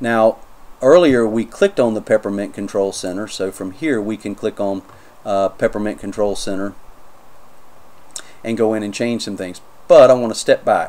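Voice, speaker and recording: A man's fairly low, dark, mellow voice with a North Carolina accent, ordinary pitch variation, big swings in loudness and long, frequent pauses. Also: moderate pace. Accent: North Carolina accent (self-noted). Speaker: Linux YouTuber, software reviewer. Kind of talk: tutorial, software review walkthrough. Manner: casual, hesitant with fillers.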